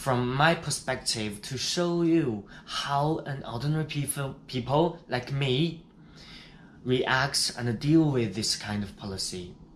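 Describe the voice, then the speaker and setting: A man with a Chinese accent speaks at a very slow pace. His fairly high pitch shows ordinary variation. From China. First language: Mandarin Chinese. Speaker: dentist vlogger. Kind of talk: vlog narration.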